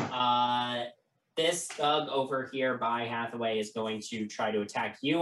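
The pitch varies in an ordinary way in a natural reading voice. Behind it, the background is quiet.

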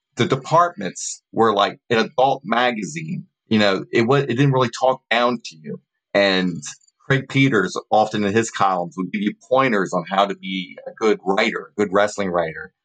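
A man with an American accent, an ordinary speaking voice, medium pitch, lively intonation and a moderate pace, in a dry, close sound with no echo. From Maryland/just south of Mason-Dixon. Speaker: wrestling journalist. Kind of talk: casual interview.

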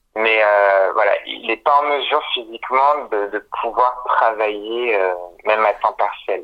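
This man uses an ordinary speaking voice, moving fairly slowly with ordinary pitch variation. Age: 30s. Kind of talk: interview. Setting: phone call.

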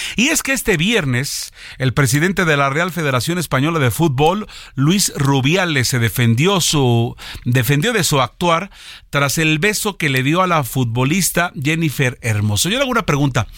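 At a moderate pace, a man with a fairly high pitch uses lively intonation and very even loudness. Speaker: news radio host. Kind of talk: news reading and studio chat. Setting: radio studio.

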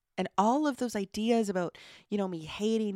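Woman in a Canadian Maritime accent, with a dark, mellow tone, ordinary pitch variation and a moderate pace, in a dry, close sound with no echo on a very clean recording with a silent background. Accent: Canadian Maritimes. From Nova Scotia, Canada (Truro). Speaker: podcast host. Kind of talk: solo podcast monologue. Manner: casual, many fillers and laughs.

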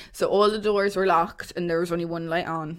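Speaking at a fairly quick pace, a woman with a Waterford Irish accent has a fairly low pitch. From Ireland, Waterford. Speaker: podcast co-host. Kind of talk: casual chat.

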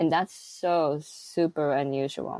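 With an American accent, a woman speaks at a very deep, low pitch. The recording is very clean, with a silent background and a dry, close sound with no echo. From split between Tokyo and the US. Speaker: clay plasterer and author. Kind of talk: casual interview chat. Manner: animated.

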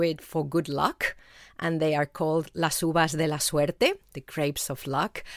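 A woman with a Spanish accent, fairly low in pitch and at a moderate pace, in a very clean recording with a silent background and a dry, close sound with no echo. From Spain. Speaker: author. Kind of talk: interview.

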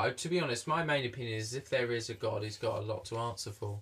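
A man at a medium pitch speaks at a very fast pace over noticeable background noise. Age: 20s. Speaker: podcast host. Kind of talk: casual interview. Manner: halting.

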